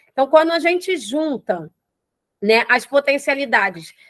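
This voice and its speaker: Recorded dry and close with no echo, a high-pitched woman talks at a fairly slow pace with lively intonation. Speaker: NGO founder and capoeira teacher. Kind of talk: online class. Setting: livestream. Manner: repeats words, filler hesitations.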